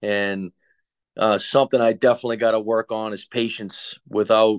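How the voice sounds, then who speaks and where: A man speaks with a monotone, flat intonation. The sound is dry and close with no echo, over a quiet background. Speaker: college football coach. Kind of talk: casual interview. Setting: call. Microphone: connection issues, heavily edited.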